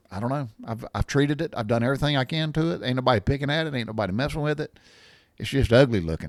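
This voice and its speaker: A medium-pitched man with a Southern US accent, lively intonation and a very fast pace, on a very clean recording with a silent background. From US South. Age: 60s. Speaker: podcast host, storyteller. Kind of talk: casual monologue. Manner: halting, many fillers and restarts.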